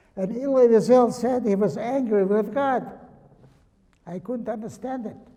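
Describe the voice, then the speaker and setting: A high-pitched male voice at a moderate pace, with ordinary pitch variation. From Lithuania. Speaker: Holocaust survivor speaker. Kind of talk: talk with Q&A to students. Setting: high school presentation with audience.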